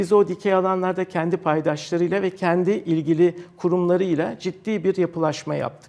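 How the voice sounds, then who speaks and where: With hardly any pauses, a man keeps a high pitch and monotone, flat intonation at a moderate pace. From Turkey, Istanbul. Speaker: professor and technology park director. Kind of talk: TV interview. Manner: hesitant, many fillers.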